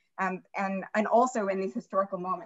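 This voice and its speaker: Her somewhat breathy voice moves at a moderate pace with ordinary pitch variation. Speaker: museum curator and moderator. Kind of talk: slide presentation in online talk. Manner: animated.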